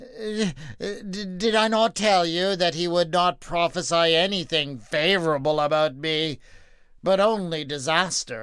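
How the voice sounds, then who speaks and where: A man's put-on character voice, high in pitch. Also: fairly slow pace. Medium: read story. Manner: blustering, uneasy.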